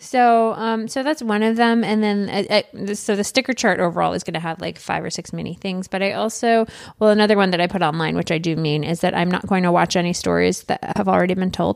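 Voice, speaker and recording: A woman with an American accent talks at a very fast pace in a medium pitch, on a very clean recording with a silent background. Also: ordinary pitch variation. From Michigan, US. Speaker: podcast host. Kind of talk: casual chat.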